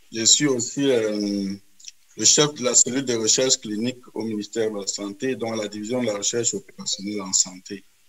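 An unremarkable speaking voice from a man at medium pitch, fairly even in intonation, at a moderate pace with hardly any pauses. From Cameroon. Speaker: epidemiology professor and co-moderator. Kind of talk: moderated webinar. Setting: video call.

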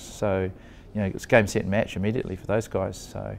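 A man with a fairly low pitch talks very fast over light background noise. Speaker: former company executive. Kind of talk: interview. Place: office. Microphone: lapel.

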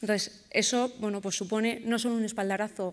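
With a normal speaking voice, a woman talks at a fairly quick pace, her fairly high pitch carried in fairly even intonation. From Bilbao, Basque Country, Spain. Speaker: educational robotics program organizer. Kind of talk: conference presentation. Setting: stage with audience at a conference. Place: stage. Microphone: podium.

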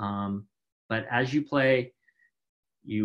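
A man talks with fairly even intonation. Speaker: conference speaker, badge designer. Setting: online conference talk. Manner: fast talker.

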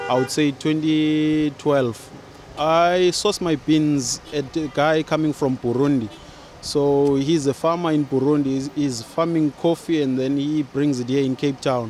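A man speaks with fairly even intonation in a dry sound with no echo, over light background noise. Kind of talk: interview answer. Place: street. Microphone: handheld.

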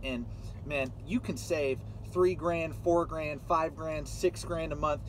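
A man at a moderate pace in a dry sound with no echo, over light background noise. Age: 20s. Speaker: truck driver and YouTuber. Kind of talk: casual vlog monologue. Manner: casual with many fillers. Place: car. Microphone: phone near.

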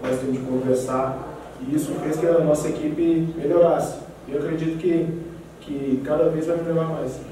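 Against noticeable background noise and strong room echo, a man talks at a fairly quick pace with a fairly high pitch and fairly even intonation. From Brazil, Goiás (Jataí). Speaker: professional footballer. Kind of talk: press conference. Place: meeting room.

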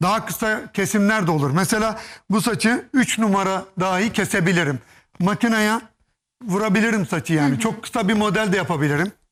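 At a fairly quick pace and high pitch, a man speaks with ordinary pitch variation and very even loudness on a very clean recording with a silent background. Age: 50s. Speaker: hairpiece specialist and hairdresser. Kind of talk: TV studio demonstration interview. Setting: TV studio.

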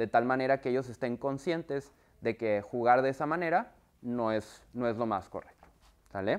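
Pitch varies in an ordinary way as the words come at a moderate pace. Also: man, medium pitch for a man. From northern Mexico, Monterrey. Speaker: software company trainer for universities. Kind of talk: workshop presentation. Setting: video call with screen share. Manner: conversational, many fillers. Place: classroom. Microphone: lapel.

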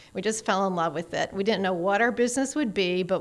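A woman with an American accent uses a normal speaking voice, with a medium pitch and ordinary pitch variation. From Chicago suburbs. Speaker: orchard farmer and cider maker; presenter. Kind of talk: conference presentation. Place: hall. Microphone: podium.

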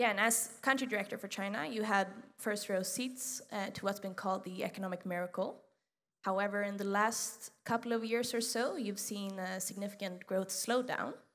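This woman's intonation stays fairly even as she talks at a moderate pace. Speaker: student interviewer. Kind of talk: interview. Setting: stage with audience. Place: hall.

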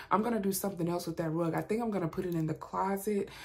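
A woman at a very fast pace, with ordinary pitch variation. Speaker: lifestyle vlogger. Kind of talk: casual vlog chat. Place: home room. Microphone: phone near.

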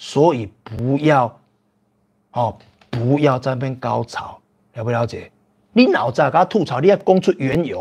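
Animated in tone, a man talks at a moderate pace with lively intonation. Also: quiet background. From Taiwan. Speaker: livestream host. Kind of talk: casual livestream chat with viewers. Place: home room. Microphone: lapel.

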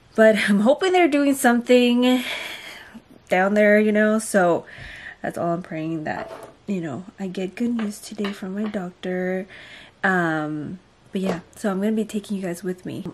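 A woman at a fairly slow pace, with long, frequent pauses, ordinary pitch variation, and light background noise. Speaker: pregnant vlogger. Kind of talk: casual vlog chat. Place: home room. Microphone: phone near.

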